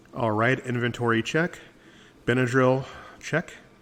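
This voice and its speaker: Fairly slow speech from a man with fairly even intonation, against noticeable background noise. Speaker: podcaster. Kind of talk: podcast monologue. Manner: whiny.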